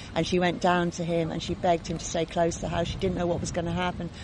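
Over noticeable background noise, a woman speaks very fast in a fairly low pitch with monotone, flat intonation. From London, England. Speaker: author. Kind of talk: casual interview chat. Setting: outdoors by a lake.

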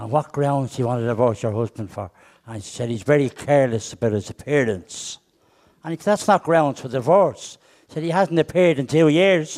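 A man's fairly high-pitched voice, fairly quick in pace, with lively intonation. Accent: Irish. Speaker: comedian. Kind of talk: stand-up. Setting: stage with audience.

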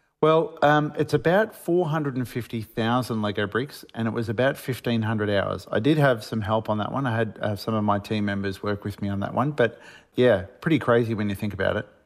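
With an Australian accent, a man at a medium pitch talks at a fairly quick pace, hardly pausing, his pitch shifting in an ordinary way. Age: 50s. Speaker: Lego builder and author. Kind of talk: radio interview.

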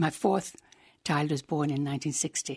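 In an Irish accent, a woman speaks at a moderate pace with a very deep, low pitch and a dark, mellow tone. The sound is dry and close, with no echo. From Ireland. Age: 80s+. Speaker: former columnist and counsellor. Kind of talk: interview.

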